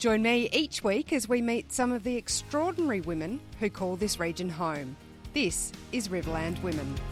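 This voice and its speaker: The speaker has an Australian accent and very wide pitch swings at a moderate pace. Music plays in the background. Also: woman, medium pitch for a woman. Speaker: podcast host, former radio broadcaster. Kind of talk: podcast intro read.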